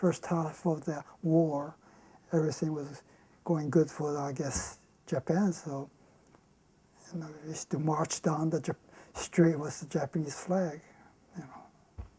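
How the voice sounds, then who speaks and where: Slow and flat, a woman speaks with a very deep, low pitch, a dark, mellow tone and a somewhat breathy voice, at a fairly slow pace with long, frequent pauses, monotone intonation and big swings in loudness. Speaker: war survivor interviewee. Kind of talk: testimony. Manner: halting.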